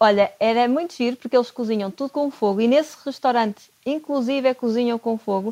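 Speaking at a fairly quick pace with hardly any pauses, a woman has a high pitch, a dark, mellow tone and ordinary pitch variation, in a dry, close sound with no echo. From Portugal, Porto. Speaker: chef and nutrition consultant. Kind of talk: casual interview.

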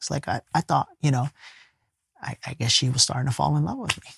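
Somewhat breathy and animated, a man speaks at a fairly quick pace in a dry, close recording with no echo. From US, poor urban neighborhood. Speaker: life coach and spiritual teacher. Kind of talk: casual interview conversation. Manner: animated storytelling.

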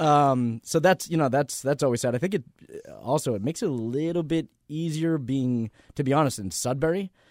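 A man with an American accent speaks at a fairly quick pace in an ordinary speaking voice, his pitch fairly high with ordinary pitch variation, on a very clean recording with a silent background. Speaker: host's brother. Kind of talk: casual chat.

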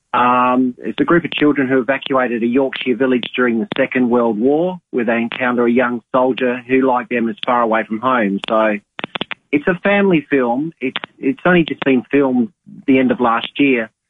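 Speaking with an Australian accent, a man goes at a moderate pace and medium pitch. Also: ordinary pitch variation. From Adelaide, Australia. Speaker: cinema manager. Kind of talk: casual radio chat, movie segment. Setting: phone call.

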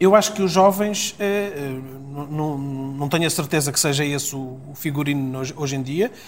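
This is a man's voice, somewhat breathy. His pitch varies in an ordinary way. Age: 50s. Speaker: politician. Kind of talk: political interview.

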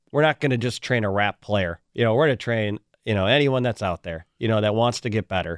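A man speaks with an Upper Midwest US accent at a fairly quick pace. His pitch is fairly low, with ordinary variation. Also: dry, close sound with no echo, quiet background. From Wisconsin (Waukesha). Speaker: youth sports event director. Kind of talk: radio interview.

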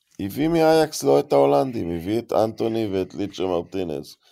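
At a moderate pace, a man speaks in a very deep, low pitch with a dark, mellow tone. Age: old. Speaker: football podcast host. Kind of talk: casual chat.

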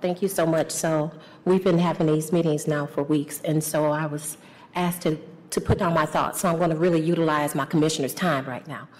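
A woman's very deep, low voice, monotone and flat, at a fairly quick pace. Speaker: city commissioner. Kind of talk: public meeting speech. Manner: emphatic.

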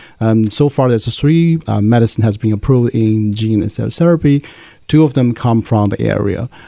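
With a Chinese accent, a man speaks at a moderate pace and medium pitch, using a dark, mellow tone and ordinary pitch variation. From China, Nanjing. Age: 30s. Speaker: pharmaceutical scientist and association leader. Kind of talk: interview.

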